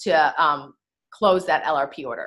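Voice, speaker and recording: A woman's bright, sharp voice with lively intonation. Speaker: essential oils sales leader. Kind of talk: tutorial. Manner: fast.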